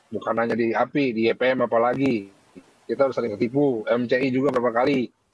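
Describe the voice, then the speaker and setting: A man with a Sundanese accent speaks at medium pitch and a very fast pace, with fairly even intonation. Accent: Sundanese-accented Indonesian. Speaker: convert foundation worker. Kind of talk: heated debate.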